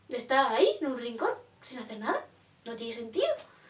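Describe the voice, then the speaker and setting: Audible room echo surrounds a woman as she speaks. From Spain. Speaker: poet and vlogger; vlogger, poet. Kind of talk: casual vlog reflection. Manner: animated; hesitant. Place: home room. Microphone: phone near.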